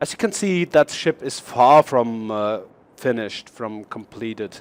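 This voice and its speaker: A man speaks with a German accent, medium pitch and lively intonation. The pace is fairly slow and the sound dry and close, with no echo. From Germany. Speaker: gaming YouTuber. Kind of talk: gameplay showcase commentary. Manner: halting, many fillers and restarts.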